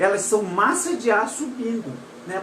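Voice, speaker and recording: The speech carries lively intonation. Noticeable background noise and audible room echo can be heard. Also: woman. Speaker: paragliding instructor. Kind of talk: live stream lesson. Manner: casual, halting.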